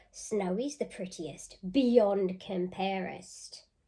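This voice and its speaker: Using a put-on character voice at a medium pitch, a woman speaks at a very slow pace. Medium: read story. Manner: blunt, teasing.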